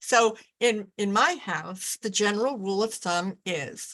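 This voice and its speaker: The woman's pitch sits in the medium range. She speaks at a very slow pace. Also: very clean recording, silent background. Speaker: presenter on living with hearing loss. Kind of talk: lecture. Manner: tends to speak too loudly.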